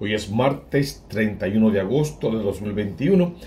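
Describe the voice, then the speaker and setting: A man's dark, mellow, somewhat breathy voice moves at a moderate pace with lively intonation. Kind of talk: homily / scripture reflection.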